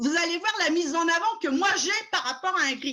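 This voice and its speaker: In a raised, projected voice with a bright, sharp and animated tone, the speaker goes at a fairly slow pace with lively intonation. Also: woman. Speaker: tour guide. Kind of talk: web conference presentation. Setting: video call. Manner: loud. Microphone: bad computer sound, mic problem.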